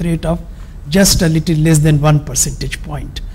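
Against noticeable background noise, a man talks with fairly even intonation. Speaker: economist. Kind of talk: economic analysis presentation.

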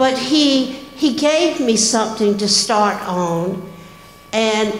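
Lively intonation in a Southern US accent, with audible room echo. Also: woman. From US South. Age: 80s+. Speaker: church member. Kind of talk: testimony. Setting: church. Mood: sincere, gentle, a little emotional. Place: church. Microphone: handheld.

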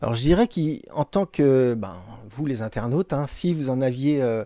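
Over a quiet background, a man speaks with a dark, mellow tone and lively intonation, in a dry sound with no echo. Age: 30s. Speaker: municipal clockmaker. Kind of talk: interview. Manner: halting, many fillers and repetitions. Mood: calm, earnest. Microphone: handheld.

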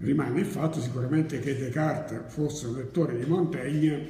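Speech comes at a fairly quick pace with ordinary pitch variation. Audible room echo is present. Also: man. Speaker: university lecturer. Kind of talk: lecture. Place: classroom.

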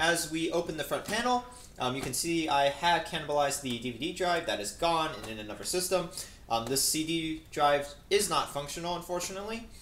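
There is audible room echo and light background noise. A man speaks at a fairly quick pace. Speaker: hobbyist reviewer. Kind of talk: tutorial. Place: home room. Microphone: camera far.

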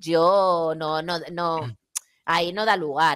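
Silence fills the background. A female voice does the talking. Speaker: YouTuber; guest commentator. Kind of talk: casual chat. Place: home room. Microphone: headset.

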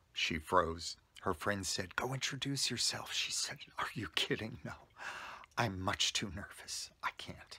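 A man whispers at a fairly slow pace. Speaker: storyteller. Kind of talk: casual vlog storytelling. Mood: warm, animated anecdote. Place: home room. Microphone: phone near.

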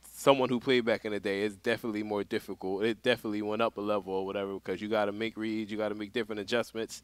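Delivered at a very fast pace in an American accent, the speech is monotone and flat in intonation, with a dry sound with no echo. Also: man. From Philadelphia, US. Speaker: veteran competitive gamer; podcast guest, gamer. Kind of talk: casual chat. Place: studio.

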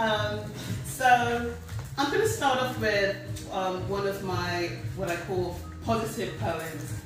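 A woman at a very slow pace amid strong room echo and faint music in the background. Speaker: poet giving a reading. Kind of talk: author talk to audience. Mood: nervous but warm. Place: hall. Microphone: camera far.

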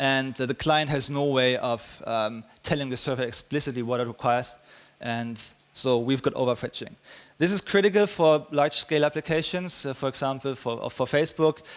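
The man talks fairly quickly, his pitch varying in an ordinary way. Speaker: conference speaker. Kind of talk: technical talk. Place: hall. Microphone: headset.

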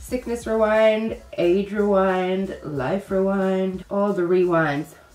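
Audible room echo surrounds the woman speaking. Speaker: beauty vlogger. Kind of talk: casual vlog chat, makeup tutorial. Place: home room.

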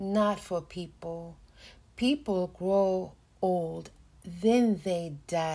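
Text read aloud in a natural voice, its pitch varying in an ordinary way

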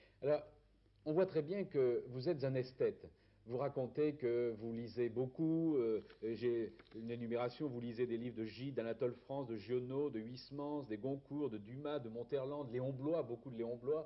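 In a normal speaking voice, a man talks at a moderate pace with ordinary pitch variation. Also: medium pitch for a man. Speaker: TV interviewer. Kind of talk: interview questions. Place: home room.

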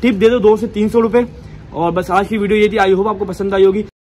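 A man talks very fast with a high pitch. His intonation is monotone and flat, with light background noise. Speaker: vlogger. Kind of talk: casual vlog chat. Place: street. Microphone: phone near.

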